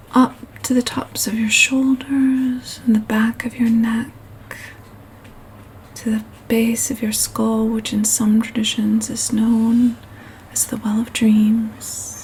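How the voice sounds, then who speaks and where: A soft-spoken woman talks very slowly in a fairly high, monotone voice with flat intonation, leaving long, frequent pauses. Noticeable background noise runs underneath. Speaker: meditation guide. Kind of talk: guided meditation. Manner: soft-spoken, slow.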